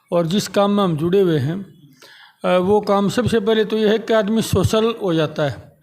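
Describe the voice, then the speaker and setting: The man's intonation stays fairly even. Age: 60s. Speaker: retiree working in insurance. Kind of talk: interview.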